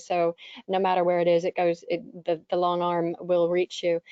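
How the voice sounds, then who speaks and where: This woman has an American accent. Her pitch is medium. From United States. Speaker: webinar moderator, data privacy consultant. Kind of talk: panel discussion. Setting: webinar.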